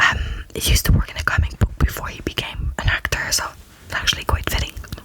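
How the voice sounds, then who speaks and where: A woman speaks in a whisper. Behind her, background noise is noticeable. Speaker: ASMR content creator. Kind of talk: ASMR fact-listing, relaxing talk.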